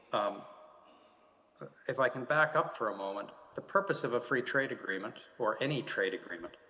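A man with a Canadian accent talks at a fairly quick pace in a bright, sharp tone, with lively intonation and long, frequent pauses. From Canada. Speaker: diplomat; panelist. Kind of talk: panel discussion. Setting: video call from home. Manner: halting, many fillers and repeats. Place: office. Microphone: video call.

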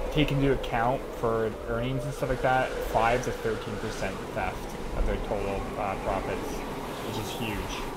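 A man talks at a fairly slow pace. Loud background noise is present. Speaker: streamer. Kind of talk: casual stream chat. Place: home room. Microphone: headset.

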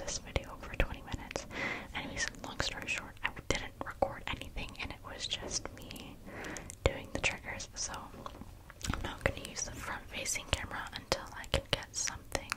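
Her voice is soft-spoken. The woman whispers. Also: moderate pace. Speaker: ASMR creator. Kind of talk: casual vlog chat. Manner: soft close-mic ASMR whisper. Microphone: studio mic.

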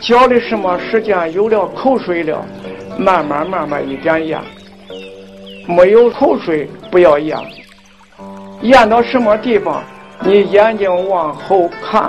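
With music playing in the background, a man with a high voice speaks at a very slow pace, leaving long, frequent pauses, his pitch varying in an ordinary way. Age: 80s+. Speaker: Daoist qigong teacher. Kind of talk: qigong exercise instruction. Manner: slow, calm.

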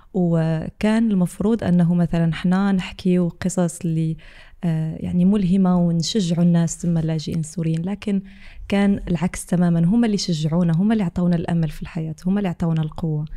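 A woman speaks with fairly even intonation in a dark, mellow tone at a fairly low pitch, against a quiet background. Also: moderate pace. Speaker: podcast guest, content creator. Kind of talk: interview answer. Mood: warm, reflective. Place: studio. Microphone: studio mic.

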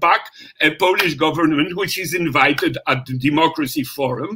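At a moderate pace, a man speaks with a bright, sharp tone, a slightly husky edge and ordinary pitch variation.

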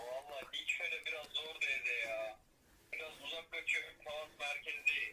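A man speaks at a fairly slow pace. Noticeable background noise sits behind him. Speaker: veterinarian. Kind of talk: phone conversation. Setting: phone line.

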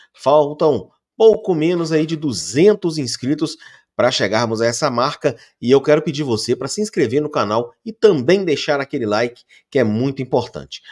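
With lively intonation, a man talks at a moderate pace over a quiet background. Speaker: sports channel host. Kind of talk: football news commentary. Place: home room. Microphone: studio mic.

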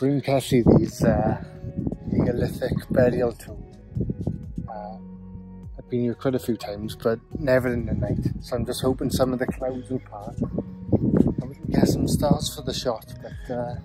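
Clear music plays in the background as a man talks at a fairly slow pace in a dry sound with no echo. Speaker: guide showing a friend a historic site. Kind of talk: casual travel vlog explanation. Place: open country. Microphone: phone near.

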